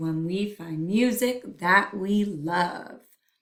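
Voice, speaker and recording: In a put-on character voice that sounds female, someone speaks at a middle pitch and a very slow pace. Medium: read story.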